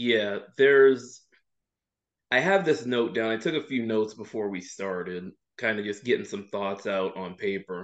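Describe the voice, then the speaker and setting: At a moderate pace, a man with a normal speaking voice and fairly low pitch talks with ordinary pitch variation against a quiet background. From Louisiana, US South. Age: 20s. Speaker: wrestling columnist. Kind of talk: casual chat.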